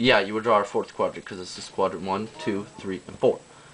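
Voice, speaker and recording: Noticeable background noise surrounds a man speaking. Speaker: math tutorial video maker. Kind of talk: tutorial. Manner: hesitant, many fillers and self-corrections.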